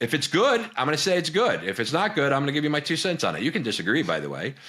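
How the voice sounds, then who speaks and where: Speaking at a very fast pace, a man with vocal fry swings his pitch very widely. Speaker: business consultant and video host. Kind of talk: reaction video commentary. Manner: animated, halting with repetitions.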